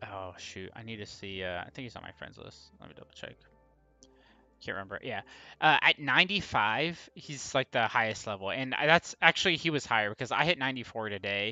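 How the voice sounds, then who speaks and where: Against music in the background, a man with a medium pitch talks at a fairly quick pace, using lively intonation and big swings in loudness. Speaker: gaming streamer. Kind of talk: live stream commentary. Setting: live stream. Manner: casual, filler-heavy.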